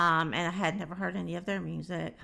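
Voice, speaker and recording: With a Southern US accent, a woman speaks in a very clean recording with a silent background. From Alabama, US South. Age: 60s. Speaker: music reaction youtuber. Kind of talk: casual vlog commentary. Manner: hesitant, many fillers.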